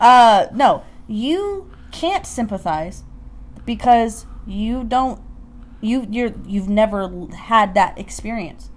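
A woman speaks very slowly in a fairly high, somewhat breathy voice. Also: ordinary pitch variation. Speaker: podcast co-host. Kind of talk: casual chat.

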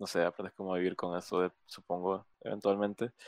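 Dry and close with no echo on a very clean recording with a silent background, a man's ordinary speaking voice sits at a fairly low pitch and a moderate pace. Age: 20s. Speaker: podcast host. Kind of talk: casual interview.

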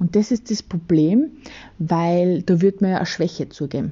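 A somewhat breathy woman's voice, fairly low in pitch, at a moderate pace with ordinary pitch variation. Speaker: podcast host. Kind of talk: casual solo monologue. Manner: hesitant, many filler pauses. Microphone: phone recording.

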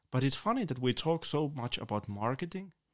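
Speaking at a moderate pace, a man with a Finnish accent shows ordinary pitch variation. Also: very clean recording, silent background. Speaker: author and poet. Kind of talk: interview. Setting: studio.

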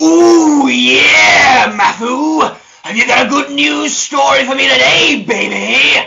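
Shouting in a put-on character voice, a man speaks at a fairly slow pace and an extremely high pitch.

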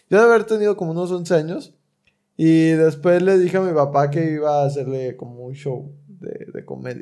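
A dark, mellow tone at a moderate pace, with ordinary pitch variation and big swings in loudness. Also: man, fairly high pitch for a man. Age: 20s. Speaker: aspiring comedian, podcast co-host. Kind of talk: casual chat.

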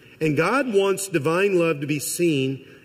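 Amid audible room echo, a man with an American accent speaks with lively intonation at a fairly high pitch. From Missouri. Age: 50s. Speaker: college president and guest preacher. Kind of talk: sermon. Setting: church.

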